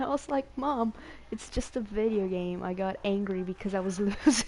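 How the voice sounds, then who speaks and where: Speaking at a moderate pace, a woman with a Portuguese accent uses a fairly high pitch and ordinary pitch variation. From Brazil. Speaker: video game streamer. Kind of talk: casual chat. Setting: live stream.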